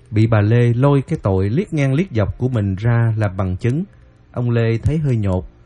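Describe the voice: The speaker gives a plain reading aloud with ordinary pitch variation.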